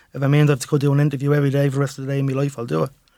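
A man with a medium-pitched voice and a dark, mellow tone is captured in a very clean recording against a silent background. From Dublin, Ireland (Ballymun). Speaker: former gang member turned state witness. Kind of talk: testimony. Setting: radio studio.

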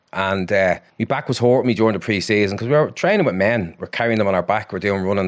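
A man with a Dublin accent, at a very fast pace, a fairly low pitch and ordinary pitch variation. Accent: Dublin Irish. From Ireland, Dublin (Ballymun). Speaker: psychotherapist. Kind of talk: casual chat.

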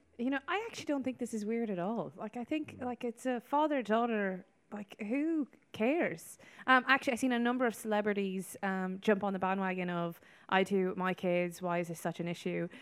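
With a western Irish accent, a woman at a medium pitch speaks at a fairly quick pace with lively intonation. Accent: Irish, west of Ireland. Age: 30s. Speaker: former pageant winner, aspiring politician. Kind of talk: radio panel discussion. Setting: outside broadcast at a hotel. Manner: hesitant, many fillers.

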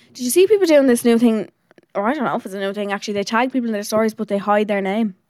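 Speaking very fast with an Irish accent, a woman uses a fairly high voice and ordinary pitch variation. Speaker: podcast co-host. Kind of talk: casual chat.

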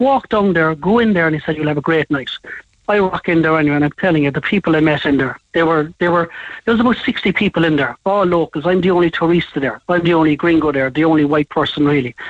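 With a Cork accent, a man talks at a very fast pace in a high pitch with ordinary pitch variation, the sound dry and close with no echo. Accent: Cork Irish. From Ireland, Cork. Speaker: caller. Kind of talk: anecdote on phone-in. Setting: phone call.

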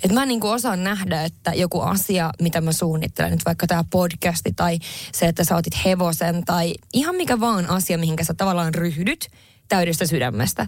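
In a very clean recording with a silent background, a woman speaks with a Swedish accent and vocal fry. Her pitch varies in an ordinary way, and her loudness stays very even. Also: fairly low pitch for a woman, moderate pace. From northern Finland. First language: Swedish (speaking Finnish). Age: 30s. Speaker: podcast co-host and entrepreneur. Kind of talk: casual chat.

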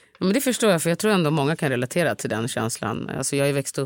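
The sound is dry and close, with no echo. The intonation is lively. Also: woman, very clean recording, silent background. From Stockholm area, Sweden (Upplands Väsby). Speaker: podcast host. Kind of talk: casual chat.

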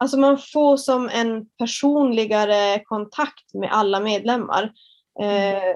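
Fairly high in pitch, a woman speaks at a very slow pace. Her intonation stays fairly even. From northern Sweden, Kiruna area. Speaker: fitness entrepreneur and personal trainer. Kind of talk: casual interview.

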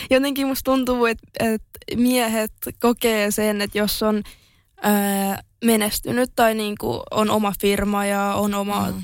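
A woman talks at a very slow pace and a fairly high pitch. Her intonation is monotone and flat on a very clean recording with a silent background. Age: 20s. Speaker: social media influencer and entrepreneur. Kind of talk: interview.

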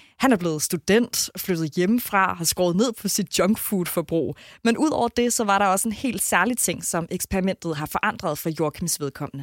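Lively intonation moves through a plain, everyday voice at a moderate pace. The recording is very clean with a silent background and a dry, close sound with no echo. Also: woman, medium pitch for a woman. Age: 30s. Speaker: radio host. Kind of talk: podcast narration and casual chat.

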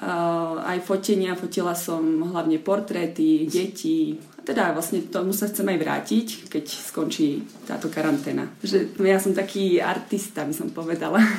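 A woman with a fairly low pitch at a fairly slow pace, amid audible room echo and noticeable background noise. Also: ordinary pitch variation. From Slovakia. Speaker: model and photographer. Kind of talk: interview. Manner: halting.

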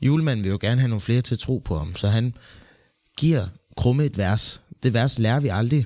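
A man speaks at a medium pitch in a dark, mellow tone with ordinary pitch variation. His pace is fairly quick, broken by long, frequent pauses. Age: 20s. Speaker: actor and co-host. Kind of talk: casual chat. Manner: halting.

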